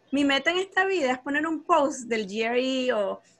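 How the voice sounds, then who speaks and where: Using a raised, projected voice, a woman speaks at a fairly slow pace with a high pitch and lively intonation. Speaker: podcast host, math content creator. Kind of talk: casual interview chat.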